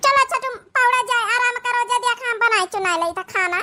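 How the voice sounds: A woman puts on a cartoonish character voice at an extremely high pitch. She moves at a fairly quick pace with ordinary pitch variation.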